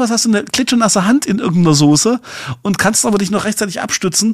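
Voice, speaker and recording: Someone talks very fast with lively intonation over noticeable background noise. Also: man. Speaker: podcast co-host. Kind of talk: casual chat. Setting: remote recording.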